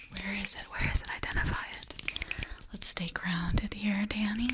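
A soft-spoken woman talks at a moderate pace. Loud background noise fills the recording. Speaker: ASMR creator. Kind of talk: soft guided meditation chat. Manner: soft murmured guidance close to mic. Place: home room. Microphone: studio mic.

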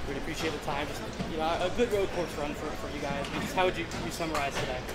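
Loud background noise runs under speech delivered at a very fast pace. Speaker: motorsport reporter. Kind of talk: interview questions. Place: garage. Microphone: phone near.

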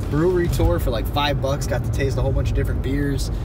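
Man's voice, dry with no echo, ordinary pitch variation, loud background noise. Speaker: vlogger. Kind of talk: casual vlog chat. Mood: relaxed, chatty. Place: car. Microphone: phone near.

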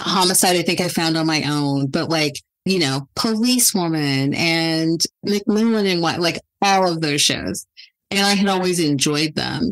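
A woman speaks with an American accent in a normal speaking voice. Her fairly low pitch holds very even loudness. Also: ordinary pitch variation, moderate pace. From California (Ridgecrest). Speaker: television writer and producer. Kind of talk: casual chat.

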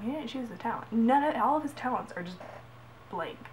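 With light noise behind her, a woman talks in an animated tone at a high pitch and a fairly quick pace. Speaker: gaming vlogger. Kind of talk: casual vlog rant. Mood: exasperated ranting. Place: home room. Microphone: webcam.

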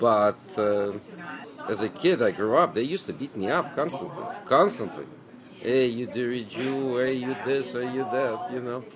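Crowd noise fills the background. A man talks at a medium pitch. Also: moderate pace. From Ukraine, Lviv; Ukraine. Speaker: deli owner. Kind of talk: interview monologue. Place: shop.

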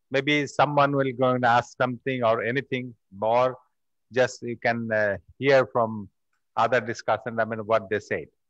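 Speaking with a Bengali accent, a man keeps a medium pitch and monotone, flat intonation, with a dry sound, no echo, and a quiet background. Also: moderate pace. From Bangladesh. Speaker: festival organizer and moderator; moderator. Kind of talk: panel moderation. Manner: halting. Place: hall. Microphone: podium.

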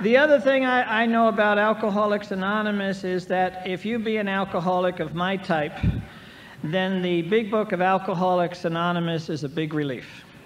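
This man's voice is high-pitched, with ordinary pitch variation. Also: moderate pace. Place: hall. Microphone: old recording.

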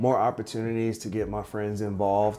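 Over faint music in the background, a man speaks in a fairly low voice with monotone, flat intonation. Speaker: vlogger. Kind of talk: casual vlog chat. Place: home room.

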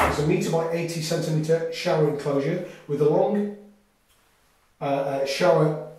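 A man speaks at a moderate pace with fairly even intonation, and audible room echo surrounds his voice. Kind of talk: product walkthrough tour. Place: bathroom. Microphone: camera far.

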